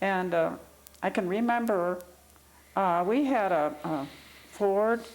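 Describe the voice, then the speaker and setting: With a Midwestern American accent, a woman speaks very slowly at a medium pitch, with ordinary pitch variation, very even loudness and audible room echo. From Ohio, Cleveland. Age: 80s+. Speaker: oral history interviewee. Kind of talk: interview. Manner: halting.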